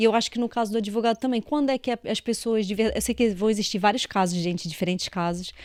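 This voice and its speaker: A woman with a fairly high pitch speaks at a very fast pace, with hardly any pauses and an animated tone. The recording is very clean with a silent background and a dry, close sound with no echo. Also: ordinary pitch variation. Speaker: podcast host, engineer. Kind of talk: interview podcast.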